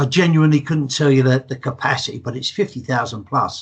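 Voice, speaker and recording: A man with an English accent talks at a very fast pace in a fairly high pitch, his voice somewhat breathy and his pitch varying in an ordinary way. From England. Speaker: football fan. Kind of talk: casual chat.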